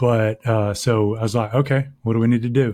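Delivered in a monotone, flat intonation, the speech sounds dry and close with no echo, on a very clean recording with a silent background. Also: man. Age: 50s. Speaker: software company CEO. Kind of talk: casual chat.

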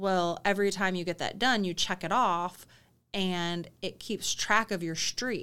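On a very clean recording with a silent background, a woman of medium pitch speaks at a fairly slow pace in a bright, sharp tone. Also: fairly even intonation. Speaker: business coach, podcast co-host. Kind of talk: casual chat.

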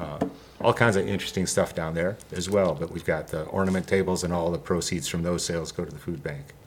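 A man's very deep, low voice at a very fast pace, with fairly even intonation and noticeable background noise. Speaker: musician and arts venue music booker. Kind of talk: casual radio interview chat. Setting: studio.

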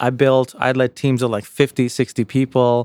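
With an American accent and a normal speaking voice, the speaker goes at a moderate pace in a dry, close sound with no echo and a very clean recording with a silent background. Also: man. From US, Jamaica, Queens, New York City. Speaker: author and investor. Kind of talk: casual interview.

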